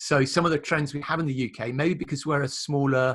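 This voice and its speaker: Against a quiet background, a man with a British accent speaks at a fairly quick pace. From UK. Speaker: print industry consultant. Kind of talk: casual business chat.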